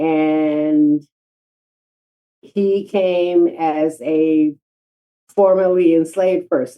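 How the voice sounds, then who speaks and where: Fairly low in pitch, a woman speaks with an American accent. Her intonation is fairly even. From Chicago, US Midwest. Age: 70s. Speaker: genealogy foundation founder. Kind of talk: podcast interview.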